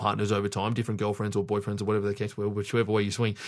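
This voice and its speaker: Fairly low male voice with an Australian accent. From Sydney, Australia. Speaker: strength coach. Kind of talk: casual chat. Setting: in-person studio recording.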